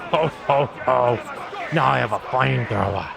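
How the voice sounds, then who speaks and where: Over loud background noise, a put-on character voice moves at a moderate pace. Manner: gleeful.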